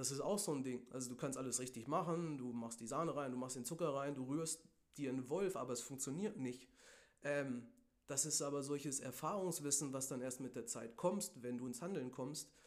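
This man talks at a moderate pace, his voice fairly high in pitch with ordinary pitch variation. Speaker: podcast host. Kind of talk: solo podcast monologue on goal setting. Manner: casual, filler-heavy.

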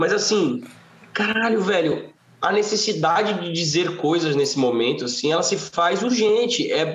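Amid audible room echo and noticeable background noise, a man talks at a fairly slow pace in a high pitch with lively intonation. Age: 30s. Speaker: singer-songwriter. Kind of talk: casual chat.

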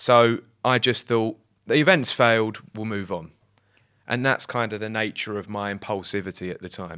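A man's fairly low voice, bright and sharp in tone, with big swings in loudness, on a very clean recording with a silent background. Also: ordinary pitch variation, moderate pace. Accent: British. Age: 30s. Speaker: sneaker website founder. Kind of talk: casual interview.

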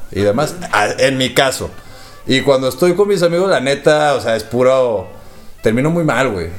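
A man speaks with a Mexican accent and lively intonation. Noticeable background noise runs under his voice. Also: medium pitch for a man, moderate pace. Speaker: podcast host. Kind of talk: casual chat.

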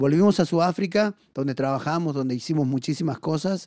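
A man speaks in a plain, everyday voice, pitched fairly high, with ordinary pitch variation. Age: 40s. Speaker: missionary. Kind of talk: testimony.

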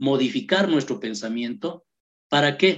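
Keeping a moderate pace, a man speaks with very wide pitch swings. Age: 50s. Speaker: human rights activist. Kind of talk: radio interview.

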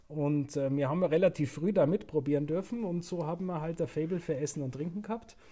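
With a Bavarian accent, a man speaks in a dark, mellow tone at a fairly high pitch, moving at a fairly quick pace with hardly any pauses and ordinary pitch variation. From Upper Bavaria (Murnau/Seehausen). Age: 40s. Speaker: hotel director. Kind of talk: casual interview.

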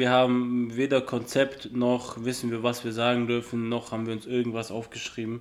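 Monotone and flat, a man speaks at medium pitch and a moderate pace. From southern Germany (Ulm, Swabia). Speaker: podcast co-host. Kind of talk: casual chat.

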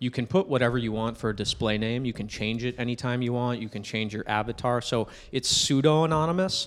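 Using an unremarkable speaking voice, a man with an American accent talks at a fairly quick pace with hardly any pauses, his medium pitch showing ordinary variation. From New Hampshire, US. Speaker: startup founder. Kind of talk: casual interview.

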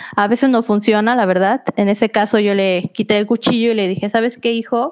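This woman has an ordinary speaking voice, fairly high in pitch, and she talks at a moderate pace. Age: 20s. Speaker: young mother sharing parenting experience. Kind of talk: casual interview chat.

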